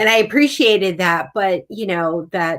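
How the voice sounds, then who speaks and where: At a moderate pace, a woman with a New York accent speaks at a medium pitch with ordinary pitch variation. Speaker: sales podcast host. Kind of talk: live video interview. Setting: live video stream.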